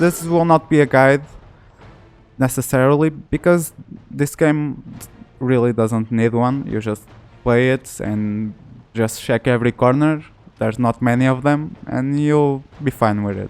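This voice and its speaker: At a fairly slow pace and with long, frequent pauses, a man of medium pitch speaks with ordinary pitch variation. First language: Portuguese. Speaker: gaming YouTuber. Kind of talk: let's play commentary. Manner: halting, self-correcting.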